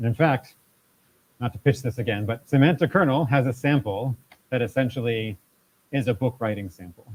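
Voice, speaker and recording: A somewhat breathy man at medium pitch, talking at a moderate pace with ordinary pitch variation. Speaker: tech meetup presenter. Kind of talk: live tech talk with audience Q&A. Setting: event space with live audience. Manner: conversational, with repetitions.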